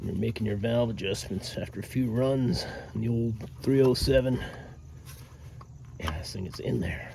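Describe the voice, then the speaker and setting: Pausing long and often at a moderate pace, a man speaks at a medium pitch with ordinary pitch variation, amid noticeable background noise and audible room echo. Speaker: DIY car repair YouTuber. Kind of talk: casual how-to vlog narration. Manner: casual, hesitant with fillers; whispering.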